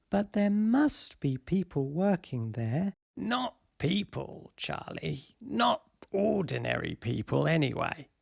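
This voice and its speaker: A put-on character voice at a middle pitch speaks at a fairly slow pace. The recording is very clean, with a silent background. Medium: read story. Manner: storytelling, conspiratorial.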